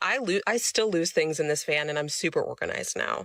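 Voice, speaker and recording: A woman talks in an American accent at a fairly low pitch and a fairly quick pace. She has a plain, everyday voice. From Florida. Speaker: van dweller sharing tips. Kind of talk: casual vlog tutorial.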